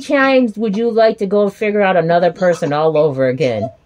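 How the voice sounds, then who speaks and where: Over noticeable background noise, a woman talks fairly quickly at a medium pitch with very wide pitch swings. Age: 40s. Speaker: podcast host. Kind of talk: casual chat. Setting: video call. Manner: animated.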